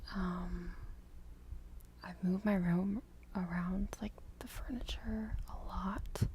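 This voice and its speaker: A woman speaks softly at a very slow pace. Long pauses come often. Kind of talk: ASMR rambling talk to camera. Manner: soft-spoken.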